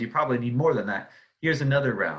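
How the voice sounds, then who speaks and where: A man with an American accent, bright and sharp in tone, at a fairly quick pace with ordinary pitch variation and audible room echo. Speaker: economics professor. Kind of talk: lecture. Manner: casual with fillers and repetitions.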